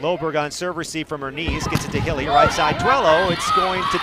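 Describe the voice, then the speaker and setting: A man moves at a fairly quick pace, and noticeable background noise runs beneath his speech. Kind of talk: live commentary.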